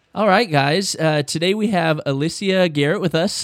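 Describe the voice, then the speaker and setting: The man's voice is dry and close, with no echo. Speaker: podcast host. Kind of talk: interview conversation. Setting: remote call across time zones.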